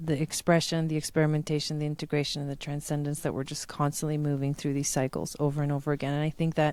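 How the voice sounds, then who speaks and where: A woman speaks very fast in a very deep, low voice with monotone, flat intonation. The recording is very clean with a silent background. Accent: Spanish. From Argentina, then United States from age 8. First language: Spanish. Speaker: spiritual teacher. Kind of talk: conversational interview.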